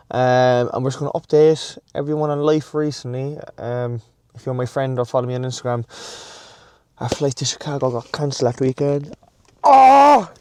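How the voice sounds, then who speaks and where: A man's monotone, flat delivery at medium pitch and moderate pace, with an Irish accent. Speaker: fitness vlogger. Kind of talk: casual vlog chat. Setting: in a car then gym.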